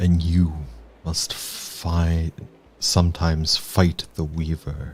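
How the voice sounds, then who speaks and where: A man puts on a character voice that is growling, with a very deep, low pitch. He speaks at a very slow pace in a monotone, flat intonation. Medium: actual play. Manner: mournful, grave.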